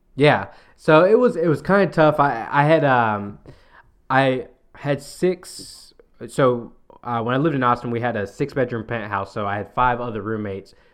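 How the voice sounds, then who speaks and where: A speaker with a Southern US accent goes at a moderate pace, with ordinary pitch variation, against a quiet background. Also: man, medium pitch for a man. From US South. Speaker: podcast co-host. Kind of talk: casual chat.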